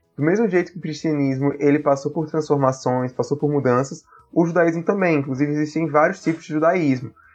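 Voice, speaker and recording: A man speaks at a fairly quick pace with hardly any pauses, his pitch fairly high and his intonation fairly even. Music plays in the background. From Brazil, Paraíba (Campina Grande). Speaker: author and political science doctoral student. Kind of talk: interview.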